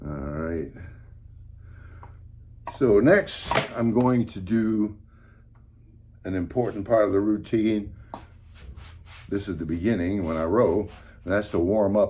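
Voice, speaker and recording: A somewhat breathy man speaks at a fairly slow pace with long, frequent pauses and ordinary pitch variation. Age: 80s+. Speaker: older exerciser demonstrating workouts. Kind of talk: casual talk to camera. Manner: rambling, hesitant.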